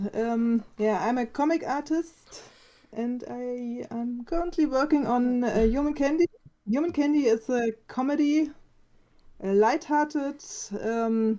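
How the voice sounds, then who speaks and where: A woman with a German accent speaks at a fairly slow pace in a high-pitched voice with a dark, mellow tone and ordinary pitch variation. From Germany. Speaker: comic artist. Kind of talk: casual chat. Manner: halting.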